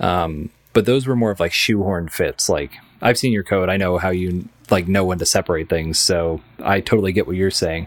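At a fairly quick pace, a man talks in a very deep, low voice with a relaxed tone and ordinary pitch variation. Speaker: software developer guest. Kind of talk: casual tech interview chat. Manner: relaxed, hesitant with fillers.

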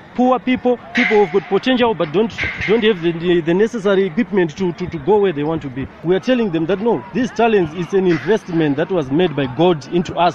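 Amid noticeable background noise, a man with a high pitch talks at a fairly quick pace with lively intonation and hardly any pauses. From Zimbabwe. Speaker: footballer. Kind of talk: interview testimony about faith. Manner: halting.

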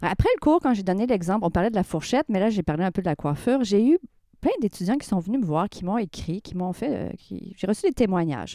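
An ordinary speaking voice moves at a fairly quick pace with lively intonation, in a dry, close sound with no echo. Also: woman, medium pitch for a woman. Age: 50s. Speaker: sociology professor and hairdresser. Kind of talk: radio interview.

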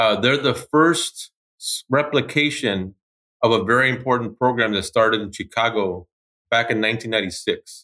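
This man has an American accent and a bright, sharp tone at medium pitch, with ordinary pitch variation and a fairly slow pace. The recording is very clean and dry, close with no echo, over a silent background. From Los Angeles, California. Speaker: school president. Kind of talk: interview.

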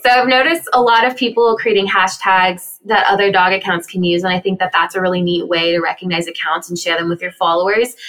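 At a very fast pace, a woman speaks with a medium pitch and ordinary pitch variation. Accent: American. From US Southwest and Texas. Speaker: dog social media creator. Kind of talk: interview.

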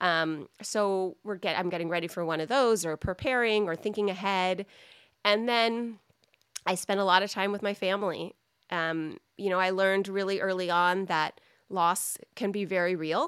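A woman speaks in an ordinary speaking voice with an American accent, at a moderate pace and medium pitch, with fairly even intonation, on a very clean recording with a silent background. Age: 40s. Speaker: cancer charity founder. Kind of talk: interview.

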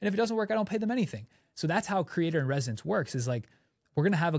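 Somewhat breathy and lively in intonation, a man's voice comes through on a very clean recording with a silent background. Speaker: content creator and podcast co-host. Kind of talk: casual brainstorm chat. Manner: fast; animated.

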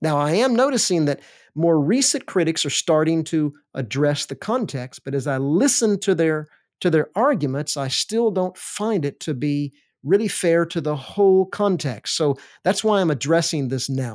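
With a plain, everyday voice, a man with an American accent speaks in a fairly high pitch with lively intonation on a very clean recording with a silent background. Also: moderate pace. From US South, Alabama. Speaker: seminary professor and podcast host. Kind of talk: lecture-style monologue.

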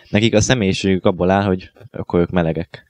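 Dry and close with no echo, a man's very deep, low voice has a dark, mellow tone. He speaks at a moderate pace with fairly even intonation. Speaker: radio co-host. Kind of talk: casual chat.

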